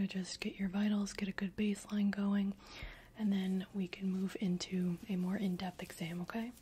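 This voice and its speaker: Soft-spoken and somewhat breathy, a woman with a gentle tone talks at a moderate pace in a monotone, flat intonation. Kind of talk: soft-spoken roleplay exam talk. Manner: soft-spoken gentle ASMR doctor voice. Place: home room.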